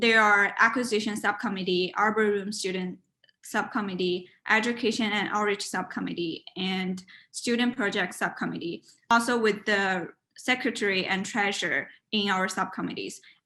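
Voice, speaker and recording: In a Chinese accent, a woman speaks at a moderate pace with fairly even intonation. Her tone is bright and sharp. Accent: Mandarin Chinese. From China. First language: Mandarin. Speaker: university student and art committee chair. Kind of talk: interview; informal presentation. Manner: halting, with many fillers.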